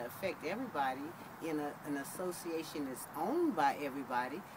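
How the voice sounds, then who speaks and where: A woman is speaking with audible room echo. Noticeable background noise sits behind her. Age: 60s. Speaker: homeowner interviewed for student project. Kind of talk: interview testimony.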